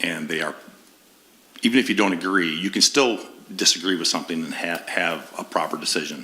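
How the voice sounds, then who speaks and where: The intonation is fairly even, with audible room echo. Noticeable background noise is present. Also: man. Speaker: board position applicant. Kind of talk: interview. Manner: halting, many fillers and repetitions.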